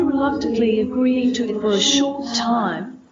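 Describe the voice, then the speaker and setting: Over background music, a woman speaks at a fairly slow pace in a high pitch. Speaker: podcast co-host. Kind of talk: ghost story telling, narrated from a script.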